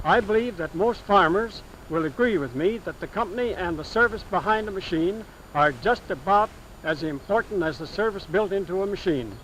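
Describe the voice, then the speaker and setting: A high-pitched man with an American accent, lively intonation and a moderate pace, over noticeable background noise. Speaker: farmer giving a testimonial. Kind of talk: testimonial speech about farm machinery.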